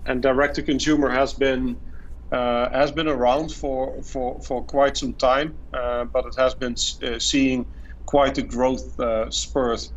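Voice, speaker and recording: A man speaks with a Dutch accent. There is audible room echo on the recording. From Netherlands. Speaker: marketing executive. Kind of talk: podcast interview. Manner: halting, many fillers and repetitions.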